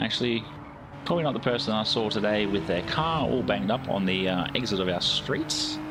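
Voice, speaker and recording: A man speaks with lively intonation at a fairly quick pace, his pitch fairly low and his loudness very even. Music plays in the background, and the room echo is audible. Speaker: sim racing streamer. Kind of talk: live gameplay stream chat. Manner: casual, chatty.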